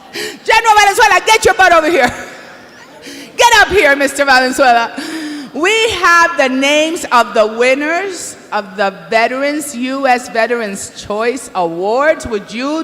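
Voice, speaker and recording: With very wide pitch swings, a woman speaks high and at a fairly slow pace. There is noticeable background noise. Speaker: awards show co-host. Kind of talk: live emcee banter. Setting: stage with audience. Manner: animated.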